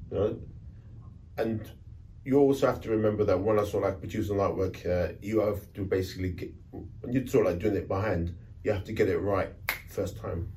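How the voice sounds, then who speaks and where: With a London accent, a man talks at a fairly quick pace but with long, frequent pauses, his fairly low pitch carrying a dark, mellow tone, somewhat breathy and with fairly even intonation, in audible room echo. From London, Notting Hill. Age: 60s. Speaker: rave flyer artist. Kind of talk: casual interview. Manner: halting. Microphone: poor sound quality.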